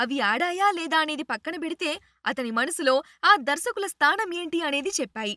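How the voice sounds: A woman's high-pitched voice with lively intonation, a bright, sharp tone and a dry, close sound free of echo. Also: moderate pace.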